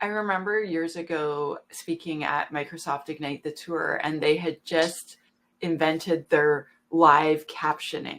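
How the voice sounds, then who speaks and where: A woman speaks with a Canadian accent at a fairly slow pace. Her pitch is very deep and low, with fairly even intonation. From Canada. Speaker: webinar moderator. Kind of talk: webinar fireside chat.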